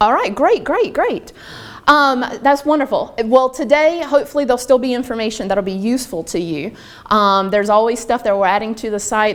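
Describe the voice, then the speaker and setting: With a Southern US accent, a woman speaks at a fairly quick pace with ordinary pitch variation. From US South, North Carolina. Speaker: online learning trainer. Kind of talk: workshop presentation. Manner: fast. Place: meeting room.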